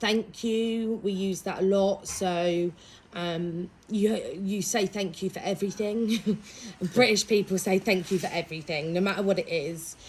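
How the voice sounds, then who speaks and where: Speaking slowly-ish at a fairly slow pace, a woman with a medium-pitched, somewhat breathy voice keeps her intonation fairly even. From East Anglia, Suffolk, England. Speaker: English language specialist. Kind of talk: interview.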